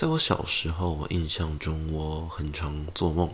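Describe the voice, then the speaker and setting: The speaker is male. His voice is pitched very deep and low. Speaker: podcast host. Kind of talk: casual monologue.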